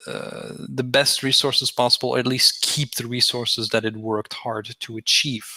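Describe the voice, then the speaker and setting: A man with a non-native accent speaks at a moderate pace in a medium pitch, his intonation monotone and flat. His tone is bright and sharp, and the sound is dry and close with no echo. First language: not English. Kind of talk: heated debate. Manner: halting, many repetitions.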